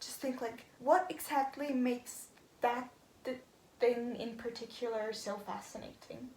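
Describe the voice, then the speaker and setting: In a room with audible echo, a woman with a non-native accent speaks fairly slowly at a fairly high pitch. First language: not English. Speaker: vlogger. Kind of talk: casual vlog monologue. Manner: hesitant, many fillers.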